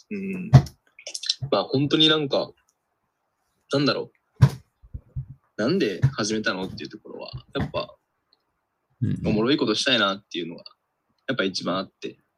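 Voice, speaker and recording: A man's medium-pitched voice with vocal fry, at a fairly quick pace, with very wide pitch swings, big swings in loudness, and long, frequent pauses. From Tokyo, Japan. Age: 20s. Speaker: podcast co-host. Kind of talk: casual chat.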